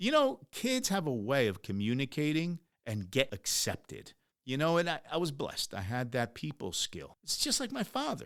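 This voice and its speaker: With a Spanish accent, a man talks in an animated tone at a moderate pace, his pitch making very wide swings. The recording is very clean, with a silent background. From US, Ecuadorian immigrant family. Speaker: podcast host, entrepreneur. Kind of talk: motivational podcast monologue. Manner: animated, conversational.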